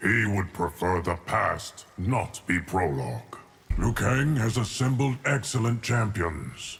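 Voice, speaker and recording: A man puts on a character voice at a medium pitch with lively intonation. He keeps a fairly slow pace and very even loudness. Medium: video game. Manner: slow, grave.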